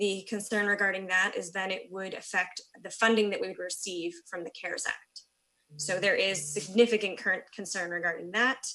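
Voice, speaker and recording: This woman has an ordinary speaking voice at a medium pitch, with fairly even intonation and a moderate pace. Her loudness swings widely. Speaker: school board president. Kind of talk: public meeting report.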